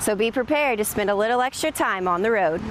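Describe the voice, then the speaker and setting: A woman with a fairly high pitch has a plain, everyday voice, moving at a fairly quick pace with ordinary pitch variation. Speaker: television news reporter. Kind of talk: TV news report.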